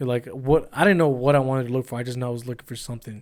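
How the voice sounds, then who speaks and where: A man at medium pitch with fairly even intonation. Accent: Spanish. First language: Spanish. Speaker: cameraman and editor. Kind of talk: casual podcast chat.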